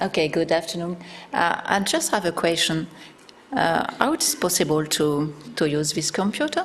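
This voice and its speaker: A woman with a strong French accent talks at a moderate pace and a fairly low pitch, with ordinary pitch variation. Her loudness stays very even over noticeable background noise. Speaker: academic researcher. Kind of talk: conference presentation.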